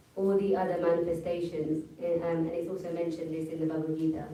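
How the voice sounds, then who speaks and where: With audible room echo, a woman speaks fairly quickly in a fairly low, monotone voice with flat intonation. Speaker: religious class speaker. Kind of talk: religious class discussion. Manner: fast.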